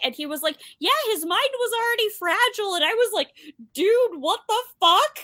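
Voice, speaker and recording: A woman's raised, projected voice with a bright, sharp tone at a moderate pace, dry and close with no echo, on a very clean recording with a silent background. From United States. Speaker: book podcast co-host. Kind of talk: casual chat.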